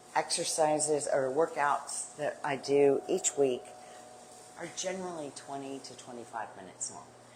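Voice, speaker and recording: A woman talks at a fairly slow pace in a very deep, low voice, with big swings in loudness and long, frequent pauses. Noticeable background noise runs underneath. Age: 60s. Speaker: home workout instructor. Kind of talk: live workout class. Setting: livestream. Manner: upbeat and encouraging.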